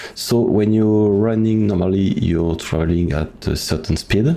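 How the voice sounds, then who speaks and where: A man with a non-native accent speaks fairly slowly at a fairly low pitch, with audible room echo and noticeable background noise. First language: French. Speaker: video game speedrunner. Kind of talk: tutorial. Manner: halting.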